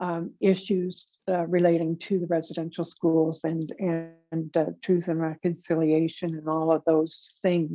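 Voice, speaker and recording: A woman with a fairly low pitch speaks fairly slowly in a monotone, flat intonation. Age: 60s. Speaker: host of an online wellness and trauma program. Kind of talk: casual chat. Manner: halting, many fillers.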